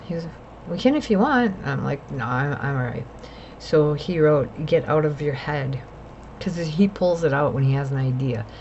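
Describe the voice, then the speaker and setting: Over noticeable background noise and audible room echo, a woman with a very deep, low pitch talks at a moderate pace with ordinary pitch variation. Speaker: mental health vlogger. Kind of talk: personal vlog monologue. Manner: rambling, jumps between topics.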